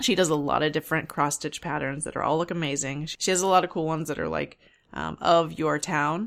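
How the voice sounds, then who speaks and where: On a very clean recording with a silent background, a woman speaks with vocal fry, a very deep, low pitch and fairly even intonation. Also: fairly quick pace. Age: 40s. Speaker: knitting podcast host. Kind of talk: casual solo podcast monologue.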